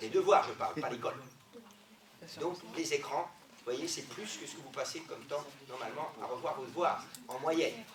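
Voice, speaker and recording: Amid noticeable background noise and audible room echo, a man speaks with a fairly high pitch and ordinary pitch variation. He leaves long, frequent pauses, and his loudness swings widely. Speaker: sports doctor. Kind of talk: lecture. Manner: fast.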